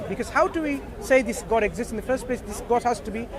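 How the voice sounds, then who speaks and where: Against crowd noise in the background, a man talks at a fairly quick pace in an extremely high pitch. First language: not English. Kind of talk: street dawah discussion.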